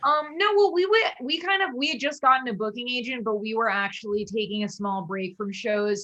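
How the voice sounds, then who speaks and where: A woman's normal speaking voice, fairly high in pitch, at a moderate pace with lively intonation. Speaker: avant-rock band leader. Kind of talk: casual interview chat.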